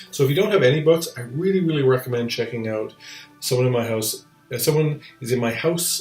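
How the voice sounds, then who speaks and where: Over music in the background, a man mumbles at a very fast pace in a medium pitch with ordinary pitch variation. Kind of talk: casual talk to camera. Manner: mumbly, hesitant.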